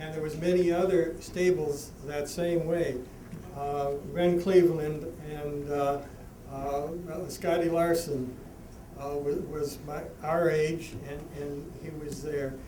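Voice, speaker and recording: A man with an American accent speaks very slowly at a fairly high pitch in a monotone, flat intonation, with big swings in loudness. Noticeable background noise and audible room echo are present. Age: 60s. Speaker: harness racing horseman. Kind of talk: award acceptance speech. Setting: banquet with audience. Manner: halting, repetitive.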